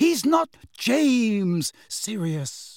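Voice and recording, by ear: In a very clean recording with a silent background, a man puts on a high character voice with vocal fry, big pitch swings and a very slow pace.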